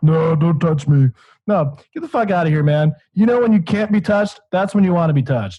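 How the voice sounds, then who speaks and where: A man with an American accent talks at a fairly quick pace, his intonation lively. His tone is dark and mellow, and his pitch is high for a man. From Michigan, US. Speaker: podcast host. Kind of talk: casual chat. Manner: animated.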